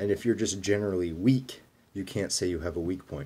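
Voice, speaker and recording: A man's very deep, low pitch in a dark, mellow tone, the intonation fairly even. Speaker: bodybuilding coach. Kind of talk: tutorial. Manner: fast; casual.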